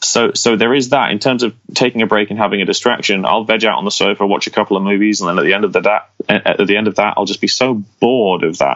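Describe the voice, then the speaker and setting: A man with an English accent speaks very fast in a fairly low voice. His pitch varies in an ordinary way while his loudness stays very even. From England, small village. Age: 20s. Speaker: fingerstyle guitarist. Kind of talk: podcast interview. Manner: animated.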